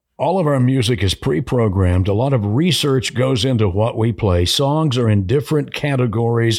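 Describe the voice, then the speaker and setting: A man with a plain, everyday voice talks at medium pitch and a moderate pace in an American accent, with lively intonation, very even loudness and hardly any pauses. The recording is very clean with a silent background. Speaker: radio host and program director. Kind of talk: casual interview chat. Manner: polished, composed, measured.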